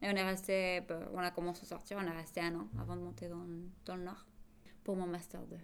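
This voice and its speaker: A fairly low-pitched woman at a fairly quick pace, with fairly even intonation and audible room echo. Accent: Spanish. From Bolivia. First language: Spanish (speaking French). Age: 30s. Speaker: interviewee in binational couple. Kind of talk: casual testimony.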